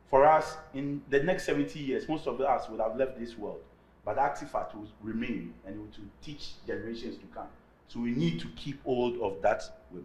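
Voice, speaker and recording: A man speaks at a moderate pace and medium pitch, with lively intonation, vocal fry and big swings in loudness. Room echo is audible around him. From Ghana. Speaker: artist and academic. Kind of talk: lecture.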